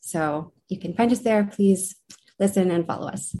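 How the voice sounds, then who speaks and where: A woman's normal speaking voice with an American accent, medium in pitch, at a moderate pace over a quiet background. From Uintah and Ouray Reservation, Utah (Northern Ute). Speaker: graduate student, podcast co-host. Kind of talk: panel discussion.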